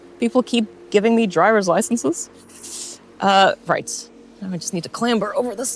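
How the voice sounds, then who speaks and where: A woman talks at a moderate pace in a fairly high, relaxed voice with ordinary pitch variation. Noticeable background noise is audible behind her. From United States. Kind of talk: casual talk to camera. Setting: outdoors. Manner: relaxed, chatty.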